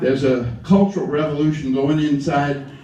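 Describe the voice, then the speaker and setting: A man with an Alabama accent talks at medium pitch and a moderate pace. There is noticeable background noise and audible room echo. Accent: Southern US (Alabama). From US South, lower Alabama. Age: 70s. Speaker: civil rights activist. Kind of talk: speech to a gathering.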